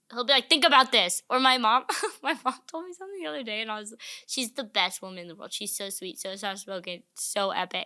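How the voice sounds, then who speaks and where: Speaking with an American accent, the voice is bright, sharp and animated, racing at a very fast pace with very wide pitch swings and big swings in loudness, in a very clean recording with a silent background. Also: woman, fairly high pitch for a woman. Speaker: comedian. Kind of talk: casual chat.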